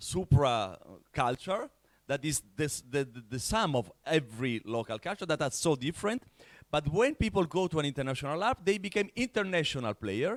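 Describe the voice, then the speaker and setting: Speech in an Italian accent swings very widely in pitch at a moderate pace. The sound is dry and close with no echo, and the recording is very clean over a silent background. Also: man. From Italy. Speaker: larp organizer, panelist. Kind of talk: panel discussion. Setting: conference stage with audience. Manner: halting, repeats words.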